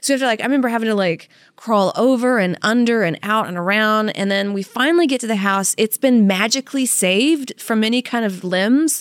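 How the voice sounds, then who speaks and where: A woman with an American accent talks in an ordinary speaking voice, fairly high in pitch with ordinary pitch variation, at a fairly quick pace with hardly any pauses, in a very clean recording over a silent background. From Louisiana, US South. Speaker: podcast co-host. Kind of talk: casual chat, personal storytelling.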